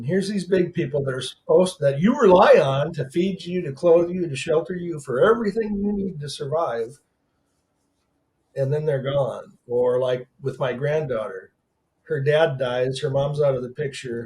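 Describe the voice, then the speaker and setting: Somewhat breathy, a man speaks at a moderate pace with a fairly high pitch and ordinary pitch variation. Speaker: author and motivational speaker. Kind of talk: casual chat.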